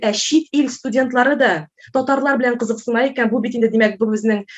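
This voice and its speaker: A woman speaks in a high voice with a Tatar accent. Her intonation is fairly even. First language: Tatar (speaking Russian). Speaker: Russian language teacher. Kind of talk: conference talk. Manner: hesitant, many filler sounds.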